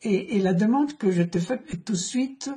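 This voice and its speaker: Very slow speech comes in a non-native accent. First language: not French (speaking French). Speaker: economist interviewing an author. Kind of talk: book discussion interview. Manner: halting, many repetitions.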